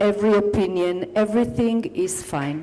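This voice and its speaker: A woman talks at a fairly slow pace. She speaks with an Israeli accent. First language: Hebrew. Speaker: poet and author. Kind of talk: panel discussion at book launch.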